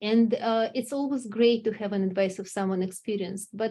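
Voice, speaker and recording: A woman with a non-native accent speaks at a moderate pace in a fairly high, somewhat breathy voice. Her tone is dark and mellow, and the background is quiet. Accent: foreign. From Russia. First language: Russian. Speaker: company executive. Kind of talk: interview.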